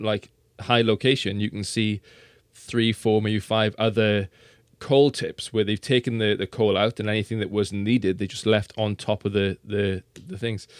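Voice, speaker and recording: A man's medium-pitched voice with a South Wales accent, moderate pace and fairly even intonation, in a dry, close, very clean recording with a silent background. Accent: South Wales Welsh English. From South Wales valleys. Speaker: science presenter. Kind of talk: casual interview chat. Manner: halting, repeats words.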